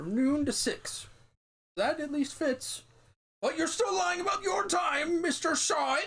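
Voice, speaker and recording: The voice is a put-on character one. Its delivery is fairly slow. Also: man, extremely high pitch for a man. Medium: game stream. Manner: gruff, abrupt.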